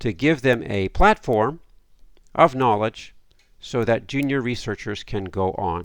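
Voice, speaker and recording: A man with an ordinary speaking voice, ordinary pitch variation and a fairly slow pace, on a very clean recording with a silent background. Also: medium pitch for a man. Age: 60s. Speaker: academic lecturer. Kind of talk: lecture.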